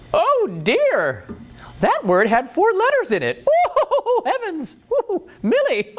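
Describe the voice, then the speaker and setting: A put-on character voice delivers its lines at an extremely high pitch and a very slow pace. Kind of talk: falsetto. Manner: prim, scandalized.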